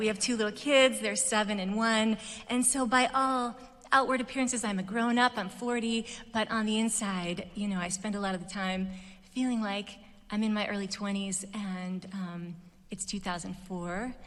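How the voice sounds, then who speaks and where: In an American accent, a woman with a fairly high pitch speaks at a moderate pace, with audible room echo around her. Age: 40s. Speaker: commencement speaker, musician. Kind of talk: commencement speech. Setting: stage with audience. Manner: hesitant, many fillers.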